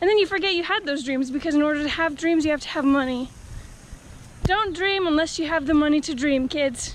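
A woman talks at a fairly quick pace with ordinary pitch variation. The sound is dry with no echo, over light background noise. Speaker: vlogger. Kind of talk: casual vlog chat. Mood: playful, self-mocking. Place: street. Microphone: phone near.

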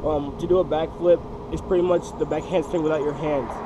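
Noticeable background noise sits behind a man's voice. He keeps a moderate pace with fairly even intonation. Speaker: parkour and freerunning instructor. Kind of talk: casual tutorial talk to camera.

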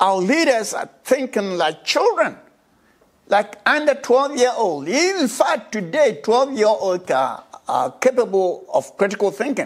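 A man speaks at a fairly slow pace with very wide pitch swings. The background is quiet. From Ghana. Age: 80s+. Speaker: social commentator. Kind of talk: monologue. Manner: animated. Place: home room. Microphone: lapel.

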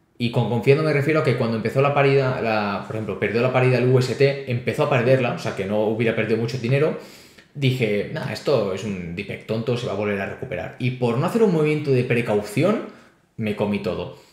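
A man speaks at a very fast pace in a medium pitch, with ordinary pitch variation and audible room echo. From Spain, Barcelona; Catalonia, Spain. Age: 20s. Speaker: crypto youtuber and startup founder; crypto youtuber. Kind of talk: interview. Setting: video call. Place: home room. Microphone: webcam.

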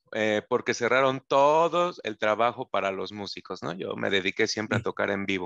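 Against a quiet background, a man with a normal speaking voice and medium pitch talks at a moderate pace with lively intonation and hardly any pauses, the sound dry and close with no echo. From Mexico City. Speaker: musician. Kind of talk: question in an online class. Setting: video call.

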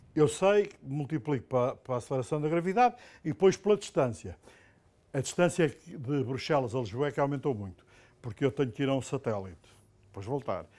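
Fairly quick in pace, a man speaks with a dark, mellow tone and lively intonation. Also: fairly high pitch for a man. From Portugal. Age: 60s. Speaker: professor. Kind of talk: lecture. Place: classroom. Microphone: lapel.

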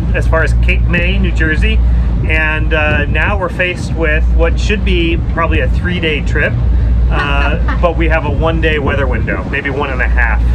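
A man speaks at a moderate pace while loud background noise plays. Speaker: boat owner vlogger. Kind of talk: casual vlog chat. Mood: cheerful, slightly tense. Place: boat. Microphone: phone near.

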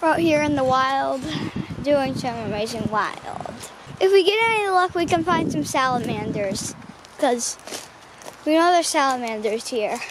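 Speaking at a moderate pace with very wide pitch swings and long, frequent pauses, a high-pitched woman sounds dry and echo-free against noticeable background noise. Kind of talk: casual vlog chat. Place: forest.

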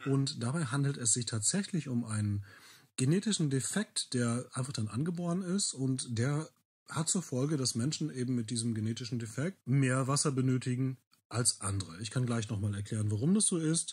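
A man speaks with lively intonation at a medium pitch and moderate pace. His voice is somewhat breathy, and the recording is very clean with a silent background. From Bielefeld, East Westphalia, Germany. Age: 30s. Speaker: local heritage worker and language teacher with a rare disease. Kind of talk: interview testimony.

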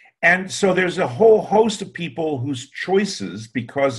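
A man with an American accent, somewhat breathy, at a moderate pace against a quiet background. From US Northeast. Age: 70s. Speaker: recruiting industry consultant; interview guest. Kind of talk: interview. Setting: video call. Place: home room. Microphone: webcam.

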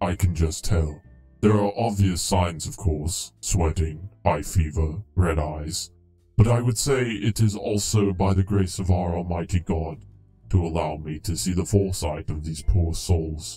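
A man's put-on character voice, very deep and low, at a moderate pace over faint music in the background. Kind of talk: formal archaic politeness. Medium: solo performance. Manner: calm, prim, solemn, easily scandalized.

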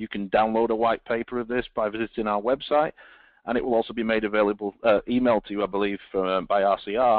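In a British accent, the words come at a fairly quick pace. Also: man. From Britain. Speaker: telecom engineering director. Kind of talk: webinar presentation. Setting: online webinar.

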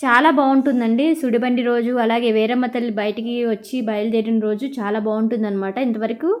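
Amid audible room echo, a woman talks at a fairly high pitch with fairly even intonation. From Andhra Pradesh, Krishna district (Vuyyuru). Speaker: vlogger. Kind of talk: travel vlog narration. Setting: outdoors at a crowded temple fair. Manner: casual, conversational.

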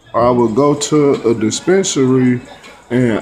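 A man talks with ordinary pitch variation. Light background noise sits behind him. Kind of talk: casual vlog chat. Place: home room. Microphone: phone near.

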